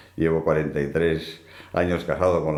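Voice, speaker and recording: A man talks fairly slowly, and the room's echo can be heard. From Basque Country, Spain (Bilbao). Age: 70s. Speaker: hunter and business executive. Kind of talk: interview. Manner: halting, many repetitions.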